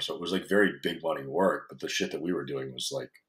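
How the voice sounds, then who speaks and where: The man talks at a very fast pace with a very deep, low pitch. Vocal fry runs through his voice. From foreign country. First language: not English. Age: 30s. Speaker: fitness coach. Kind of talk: podcast interview. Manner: casual, profane.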